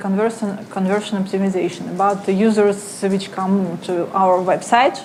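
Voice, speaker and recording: A woman speaks at a moderate pace and medium pitch. Noticeable background noise and audible room echo are present. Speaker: conference speaker, analytics marketer. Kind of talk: conference talk. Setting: stage with audience. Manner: halting.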